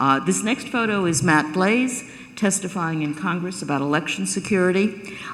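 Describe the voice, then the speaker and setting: An American accent comes through over noticeable background noise. The room adds an audible echo. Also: woman. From New York. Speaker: professor of cybersecurity policy. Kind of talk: keynote lecture. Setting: stage with live audience. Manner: halting, many fillers and restarts.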